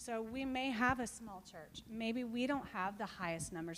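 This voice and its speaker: Recorded with audible room echo, a woman talks fairly slowly at a fairly high pitch. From Texas. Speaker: missionary. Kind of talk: church talk with Q&A.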